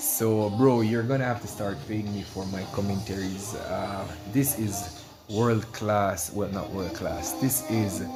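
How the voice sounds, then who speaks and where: A man with a Jamaican accent talks at a fairly slow pace in a fairly low pitch with ordinary pitch variation. Music plays in the background, and there is audible room echo. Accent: Jamaican patois. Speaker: esports commentator and streamer. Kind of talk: casual chat; live commentary. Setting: livestream.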